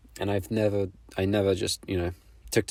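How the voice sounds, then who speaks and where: Over a silent background in a very clean recording, a man talks in a very deep, low pitch, somewhat breathy, with lively intonation. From Poland. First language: Polish. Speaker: artist. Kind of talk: casual vlog monologue. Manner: halting.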